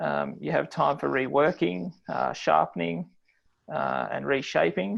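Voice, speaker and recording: The speaker is a man with an Australian accent. He talks at a fairly slow speed. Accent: Australian drawl. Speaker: health economics lecturer. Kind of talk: webinar presentation. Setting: online webinar from office. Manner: frequent filler words.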